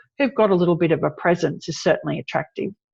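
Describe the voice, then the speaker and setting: With an Australian accent, a woman speaks in a fairly low voice over a quiet background. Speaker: PR expert. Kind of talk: interview.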